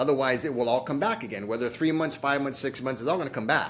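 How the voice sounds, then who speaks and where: This is an unremarkable speaking voice from a man. His pitch variation is ordinary. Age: 60s. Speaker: chiropractor and diabetes program founder. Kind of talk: podcast interview. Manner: casual.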